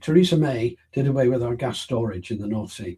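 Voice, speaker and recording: A man's somewhat breathy, dark, mellow voice at a fairly quick pace. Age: 80s+. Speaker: interviewee on science and energy policy. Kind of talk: interview.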